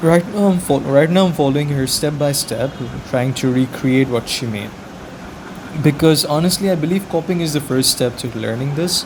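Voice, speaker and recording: With a non-native accent, a man speaks at a fairly high pitch with ordinary pitch variation against noticeable background noise. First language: not English. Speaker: beginner artist vlogger. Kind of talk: casual vlog narration. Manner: halting, self-correcting.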